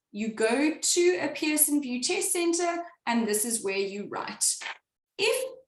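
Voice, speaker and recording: In a room with audible echo, a woman speaks at a fairly slow pace and a high pitch, her pitch swinging very widely. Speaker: exam tutor. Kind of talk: webinar tutorial.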